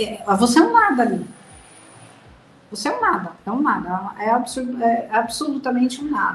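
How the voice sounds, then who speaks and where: A high-pitched woman at a moderate pace, with noticeable background noise. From Brazil. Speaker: mother of abducted child. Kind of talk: interview testimony.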